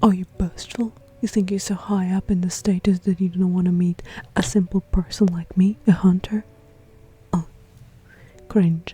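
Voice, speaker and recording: Music plays in the background as the speech moves at a moderate pace. Long, frequent pauses break it up. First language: not English. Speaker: gaming streamer. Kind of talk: game playthrough with commentary. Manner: casual, chatty.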